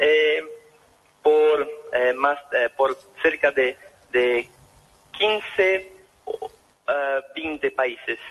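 A very slow pace with long, frequent pauses, in a Brazilian accent. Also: man. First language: Portuguese (speaking Spanish). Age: 20s. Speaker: author. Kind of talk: radio interview. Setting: phone call. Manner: halting.

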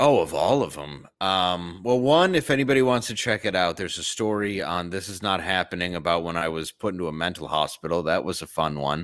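A man with an American accent and a very deep, low pitch, lively intonation, hardly any pauses, and a very clean recording with a silent background. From Detroit, Michigan. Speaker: comedian. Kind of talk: casual chat.

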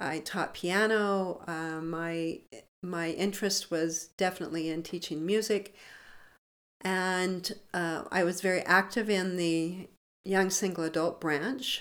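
A woman speaks with an American accent in a normal speaking voice. Her pitch is medium and her intonation fairly even. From US West, Montana. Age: 60s. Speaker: addiction recovery speaker and nonprofit founder. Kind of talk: interview testimony.

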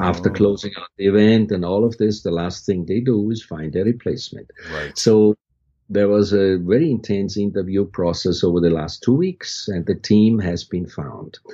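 A man speaks in a fairly low voice with a dark, mellow tone and ordinary pitch variation. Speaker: university creative director and faculty advisor. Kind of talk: interview conversation. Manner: slower speech.

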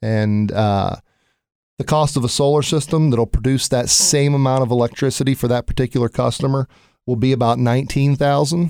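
A man's medium-pitched voice with an American accent, dark and mellow in tone, at a fairly quick pace, with ordinary pitch variation, very even loudness, and a dry, close sound with no echo. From Ohio, US Midwest. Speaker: solar company operations director. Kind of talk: casual interview. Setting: studio. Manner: halting, many fillers.

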